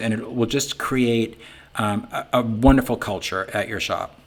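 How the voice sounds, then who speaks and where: A man speaks in a Boston accent. His medium-pitched voice keeps a fairly even intonation. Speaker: sign business owner and software founder. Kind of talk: business webinar talk. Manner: casual, conversational with many fillers.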